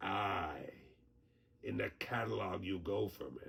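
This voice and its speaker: A man's very deep, low, raspy put-on character voice at a very slow pace. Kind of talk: audio drama performance.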